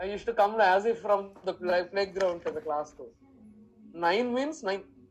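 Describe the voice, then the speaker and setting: A woman with an Indian accent, medium-pitched, at a moderate pace with ordinary pitch variation. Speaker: math teacher. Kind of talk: lecture.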